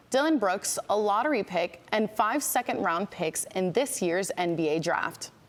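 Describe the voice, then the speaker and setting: A woman in an unremarkable speaking voice, medium in pitch, with lively intonation at a moderate pace. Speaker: news anchor. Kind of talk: TV news anchor delivery. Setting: broadcast studio.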